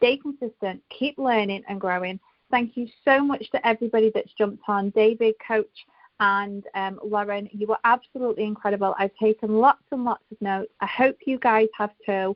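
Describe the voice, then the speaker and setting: A woman in a strong British accent speaks at a moderate pace and a fairly high pitch, her intonation fairly even. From United Kingdom. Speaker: network marketing team leader. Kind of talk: team call closing remarks.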